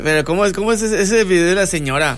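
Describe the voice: A man's high-pitched voice, fairly bright in tone, with lively intonation and a fast pace.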